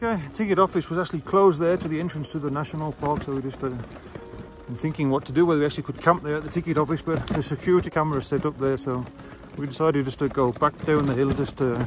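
A man at a very fast pace, dry sound with no echo, and noticeable background noise. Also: ordinary pitch variation. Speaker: touring cyclist vlogger. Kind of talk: casual vlog chat. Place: open country. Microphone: phone near.

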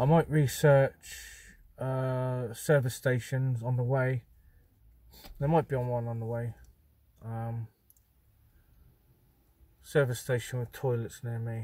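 A man's somewhat breathy, monotone, flat delivery at a fairly slow pace, with long, frequent pauses and a dry sound with no echo. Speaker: vlogger. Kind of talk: casual vlog chat. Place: car. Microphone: phone near.

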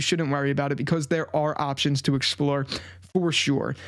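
A man talks in an animated tone at a fairly quick pace against a quiet background. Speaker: tech YouTuber. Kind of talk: casual vlog review. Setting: home desk setup. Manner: conversational, animated. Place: home room. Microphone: studio mic.

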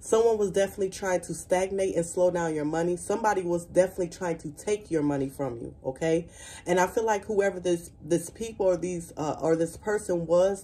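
In an ordinary speaking voice, a woman talks at a fairly quick pace with hardly any pauses, at a fairly low pitch with ordinary pitch variation. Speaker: tarot card reader. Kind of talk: spiritual reading to viewers. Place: home room. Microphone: phone near.

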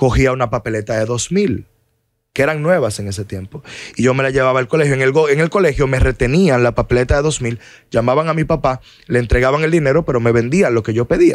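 A man talks at a very fast pace with ordinary pitch variation. The sound is dry with no echo, and the background is quiet. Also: medium pitch for a man. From Dominican Republic. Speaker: lawyer; podcast guest. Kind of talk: interview. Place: studio. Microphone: studio mic.

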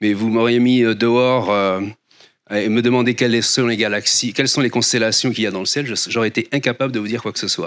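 Against a quiet background, a man talks at a fairly quick pace with monotone, flat intonation. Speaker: astronomer. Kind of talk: lecture. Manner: halting, many fillers and repeats. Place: hall. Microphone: handheld.

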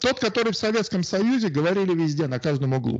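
Over a quiet background, a man speaks at a high pitch with very wide pitch swings. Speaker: guest, Russian emigrant in Australia; guest. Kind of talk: casual discussion on politics. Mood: ironic, reflective. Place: home room. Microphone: handheld.

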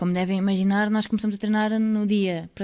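At a moderate pace, a woman with a medium-pitched voice and a dark, mellow tone speaks in a flat monotone against a quiet background. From Portugal, Aveiro; Portugal. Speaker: basketball player and podcast co-host; podcast co-host. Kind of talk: casual chat. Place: studio. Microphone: studio mic.

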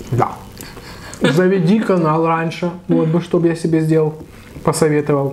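Light background noise sits behind a man speaking at a fairly slow pace. His intonation stays fairly even. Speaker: food vlogger. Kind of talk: casual eating vlog chat. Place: kitchen. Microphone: camera far.

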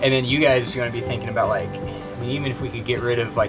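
Clear music plays in the background. Over it, a man talks at a very fast pace with ordinary pitch variation. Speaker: boat owner vlogger. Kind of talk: casual planning chat. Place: open country. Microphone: camera far.

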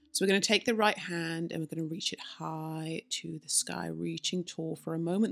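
The speaker is a woman. She keeps a moderate pace. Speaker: yoga teacher. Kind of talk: guided yoga instruction. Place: home room.

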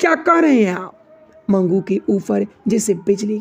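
Lively intonation in a natural reading voice

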